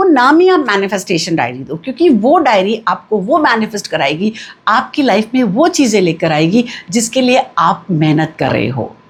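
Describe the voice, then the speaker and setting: Very wide pitch swings from a woman with a fairly high pitch, over noticeable background noise. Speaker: numerology and vastu consultant, cosmic energy coach. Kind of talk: spiritual teaching talk to camera.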